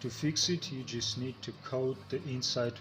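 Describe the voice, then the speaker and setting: Backed by music in the background, a man with a medium pitch talks at a moderate pace. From Bulgarian background, Transnistria. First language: Russian or Bulgarian. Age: 40s. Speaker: homesteading farmer, video creator. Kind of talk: tutorial.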